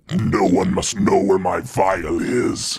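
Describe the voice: A man's put-on character voice at medium pitch, growling and rumbling at a very slow pace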